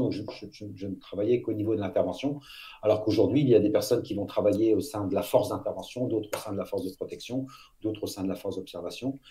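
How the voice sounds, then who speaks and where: This man has a fairly low pitch and a dark, mellow tone that is somewhat breathy. He talks at a very fast pace with fairly even intonation. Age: 50s. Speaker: former elite police officer, public speaker. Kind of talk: interview.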